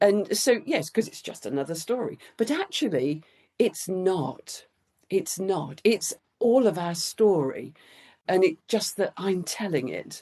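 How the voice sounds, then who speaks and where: Speaking at a fairly slow pace and a medium pitch, a woman uses lively intonation and a dark, mellow tone, her loudness swinging widely. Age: 60s. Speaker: children's book author. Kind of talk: interview conversation.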